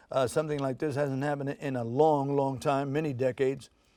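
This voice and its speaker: Against a quiet background, a man speaks with an American accent. His fairly high voice has a dark, mellow tone and a monotone, flat intonation. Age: 70s. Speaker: oldies radio show producer and event promoter. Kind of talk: TV interview. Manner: conversational with many fillers.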